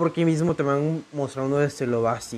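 This man speaks with a Mexican accent at a moderate pace, using a medium pitch and fairly even intonation. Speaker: podcast host. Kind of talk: casual monologue. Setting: home recording.

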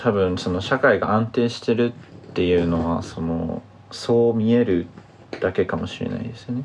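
Noticeable background noise is present. The speaker goes at a moderate pace, with ordinary pitch variation. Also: man, medium pitch for a man. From Tokyo, Japan. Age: 20s. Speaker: journalism student. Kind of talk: casual discussion.

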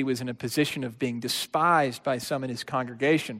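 An unremarkable speaking voice belongs to a man at a medium pitch and moderate pace. The recording is very clean, the background silent. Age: 30s. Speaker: pastor. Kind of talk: sermon.

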